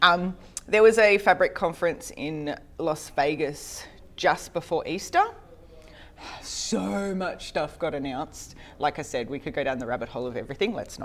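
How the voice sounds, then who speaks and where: Her voice fairly low, a woman speaks at a moderate pace with lively intonation and big swings in loudness. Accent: Australian. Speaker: conference speaker on data. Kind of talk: technical presentation.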